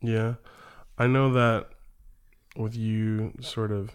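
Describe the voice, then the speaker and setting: The recording is very clean, with a silent background. A man speaks with a fairly low pitch and fairly even intonation. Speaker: podcast host. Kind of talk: casual chat.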